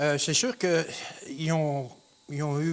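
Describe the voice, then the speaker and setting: A man speaks very slowly, his pitch fairly high. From Quebec, Beauce. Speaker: Bible teacher. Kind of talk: religious Q&A show. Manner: hesitant, many fillers.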